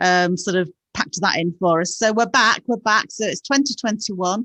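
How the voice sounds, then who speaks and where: With a plain, everyday voice, the speaker goes at a moderate pace with ordinary pitch variation, and the sound is dry and close with no echo. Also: woman. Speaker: newspaper reporter. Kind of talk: casual podcast chat. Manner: excited, chatty.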